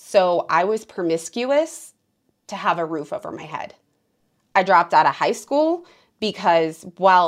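Pausing long and often, a woman speaks at a fairly slow pace, with very wide pitch swings and big swings in loudness. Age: 30s. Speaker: podcast host, trauma survivor. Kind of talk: interview, personal testimony.

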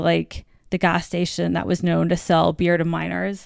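The recording is very clean with a silent background, and a woman talks in an American accent. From US Virgin Islands. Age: 30s. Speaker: author and journalist. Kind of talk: casual interview chat.

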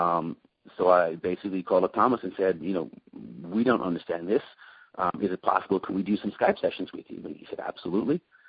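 This man's very deep, low voice moves at a very fast pace with ordinary pitch variation. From Ireland, Dublin. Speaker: personal trainer, exercise center owner. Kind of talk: interview.

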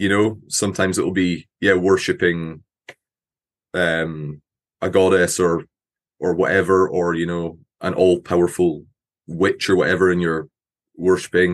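A man with a Scottish accent speaks in a very deep, low pitch at a fairly slow pace, with monotone, flat intonation. Long, frequent pauses break his speech over a quiet background. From Scotland; Aberdeen, Scotland. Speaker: metal musician. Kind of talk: casual interview.

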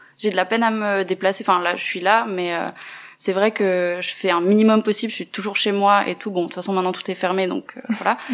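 A woman speaks at a fairly quick pace and medium pitch. She has a normal speaking voice with fairly even intonation. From Neuchâtel, Switzerland. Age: 20s. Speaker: feminist activist, translation student. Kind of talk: interview.

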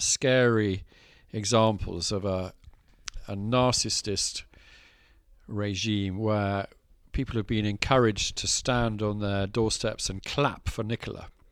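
Recorded very cleanly against a silent background, a man with an English accent talks fairly slowly at medium pitch. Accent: posh English-sounding. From Scotland. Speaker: landowner, farmer and author. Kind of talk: casual chat. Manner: halting.

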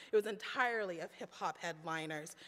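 A woman with an American accent uses a raised, projected voice at a moderate pace with very wide pitch swings. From rural Texas. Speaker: pastor. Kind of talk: sermon. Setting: church.

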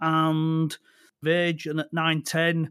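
A man speaks at a fairly high pitch. The recording is very clean, with a silent background and a dry, close sound with no echo. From northern England, Lancashire. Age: 50s. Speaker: gundog trainer and breeder. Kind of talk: interview conversation.

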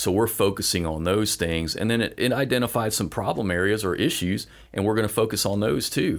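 In an ordinary speaking voice with an American accent, a man talks at a fairly quick pace with hardly any pauses, a fairly low pitch, ordinary pitch variation and very even loudness, on a very clean recording with a silent background. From US South, Florida Panhandle. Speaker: city manager. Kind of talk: casual chat.

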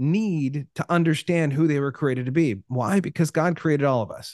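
Speaking at a fairly slow pace with a West Coast US accent, a man uses lively intonation and a fairly high pitch, and the sound is dry and close with no echo. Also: quiet background. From Oregon, US Pacific Northwest. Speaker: life coach and speaker. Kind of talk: casual interview chat. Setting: remote call.

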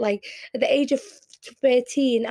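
Speaking with a Liverpool accent, a woman has a dark, mellow tone and fairly even intonation. The sound is dry and close, with no echo. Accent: Scouse. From Liverpool, England (born in Yemen). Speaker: poet and performance artist. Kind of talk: interview.

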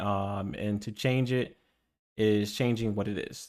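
A man with an ordinary speaking voice talks at a fairly low pitch and fairly slow pace. His intonation is fairly even, on a very clean recording with a silent background. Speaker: podcast host. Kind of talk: casual chat. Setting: livestream studio. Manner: casual, joking.

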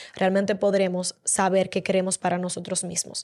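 A woman speaks at a moderate pace. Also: very clean recording, silent background. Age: 20s. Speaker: podcast host. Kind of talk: motivational monologue.

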